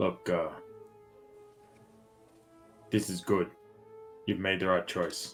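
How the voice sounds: Faint music plays behind a man's put-on character voice, low in pitch yet fairly bright in tone, moving slowly with little pitch movement.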